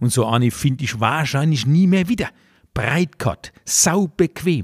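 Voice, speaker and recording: A man speaks at a fairly slow pace with very wide pitch swings. The recording is very clean and dry, close-miked with no echo and a silent background. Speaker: cabaret artist. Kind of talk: comedic dialect monologue, satirical commentary. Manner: chatty, humorous.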